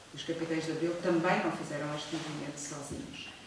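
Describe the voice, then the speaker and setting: A woman is speaking. Strong room echo and noticeable background noise surround her voice. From Portugal, Viseu district (Mangualde). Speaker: sociologist and member of parliament. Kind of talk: public lecture. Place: hall. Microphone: camera far.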